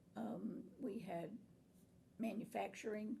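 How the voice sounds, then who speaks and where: A woman's dark, mellow tone carries vocal fry as she speaks at a very slow pace. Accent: American. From Florida, Tampa Bay area. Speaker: nursing instructor and college administrator. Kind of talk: oral history interview answer.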